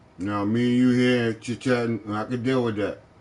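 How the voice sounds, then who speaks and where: With fairly even intonation, a man speaks at a medium pitch in a normal speaking voice. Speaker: gaming streamer. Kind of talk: casual live stream chat.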